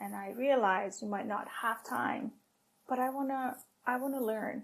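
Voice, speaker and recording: Her tone bright and sharp, a woman speaks at a fairly high pitch with fairly even intonation. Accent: non-native. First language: not English. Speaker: tech operations leader. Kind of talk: podcast interview.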